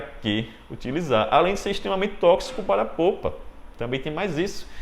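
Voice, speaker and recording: A man speaks in an animated tone with lively intonation and vocal fry. Audible room echo surrounds his voice. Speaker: dentistry lecturer. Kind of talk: lecture.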